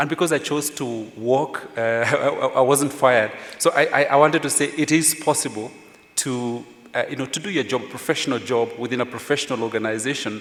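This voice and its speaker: Over noticeable background noise, a man with a Kenyan accent speaks at a fairly quick pace. His pitch is fairly high, with ordinary variation. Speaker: journalist, former editor. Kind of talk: panel discussion.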